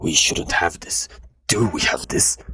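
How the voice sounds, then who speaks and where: Whispering in a raspy put-on character voice, a man goes at a fairly slow pace. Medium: read story. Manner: measured, pressing.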